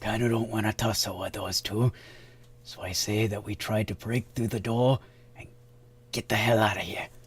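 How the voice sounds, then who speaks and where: A raspy, put-on character voice from a man at medium pitch, monotone and flat, at a moderate pace with long, frequent pauses and light background noise. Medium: actual play. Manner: wry, sardonic.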